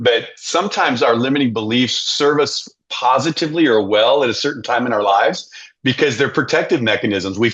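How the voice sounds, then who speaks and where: A man with an unremarkable speaking voice talks at a medium pitch, with ordinary pitch variation and very even loudness. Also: fairly quick pace. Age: 60s. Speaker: leadership coach and author. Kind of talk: podcast interview.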